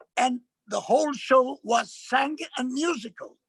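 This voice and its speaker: A man speaks in an Italian accent, recorded with a dry, close sound and no echo. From Italy, Milan. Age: 70s. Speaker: actor and performer. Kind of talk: lecture. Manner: halting.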